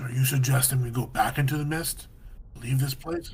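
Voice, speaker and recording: A man's raspy, put-on character voice in monotone, flat intonation, at a moderate pace over light background noise. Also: medium pitch for a man. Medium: actual play. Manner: halting, stammering.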